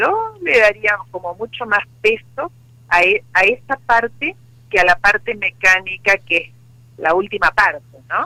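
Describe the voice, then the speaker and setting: A woman talks at medium pitch in an ordinary speaking voice, with ordinary pitch variation. Her pace is fairly slow. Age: 60s. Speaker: psychologist and sex therapist. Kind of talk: interview.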